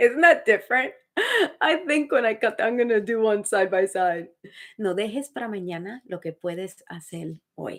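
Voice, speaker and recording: With a slight Dominican accent, a woman talks at a moderate pace in an animated tone, her fairly high voice carrying lively intonation and big swings in loudness. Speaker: actor and motivational speaker. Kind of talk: live stream chat. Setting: home live stream.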